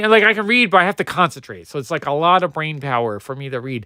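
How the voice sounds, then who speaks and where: A man with an American accent talks at a very fast pace in a bright, sharp, animated tone. His pitch swings very widely on a very clean recording with a silent background. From New Jersey, US. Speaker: comic book collector streamer. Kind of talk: livestream commentary. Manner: casual, animated.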